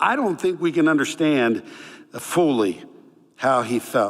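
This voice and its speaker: Pitched fairly high, a man with a Northeastern US accent speaks with very wide pitch swings. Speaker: pastor. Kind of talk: sermon.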